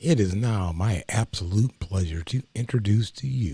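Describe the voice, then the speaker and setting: A man's dark, mellow, somewhat breathy voice with lively intonation, at a fairly slow pace, on a very clean recording with a silent background. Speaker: talk show co-host. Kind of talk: talk show chat. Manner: smooth.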